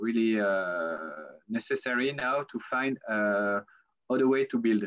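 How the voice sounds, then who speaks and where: In a French accent, a man talks at a medium pitch with ordinary pitch variation. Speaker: architect. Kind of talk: lecture. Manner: halting.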